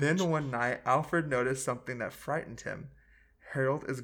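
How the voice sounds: The text is being read. The reading voice sounds natural.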